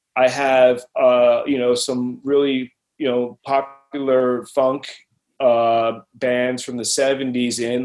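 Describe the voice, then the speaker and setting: Music plays in the background. The intonation is monotone and flat. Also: man. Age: 40s. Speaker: music producer and recording engineer. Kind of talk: casual interview.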